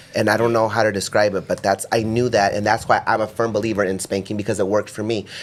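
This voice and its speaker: A man with an American accent talks at a very fast pace and a fairly low pitch. There is noticeable background noise. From US, grew up doing migrant farm work. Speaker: podcast host. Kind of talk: casual chat.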